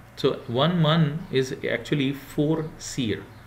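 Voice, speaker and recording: A somewhat breathy male voice with a fairly high pitch. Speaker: university lecturer. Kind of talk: lecture.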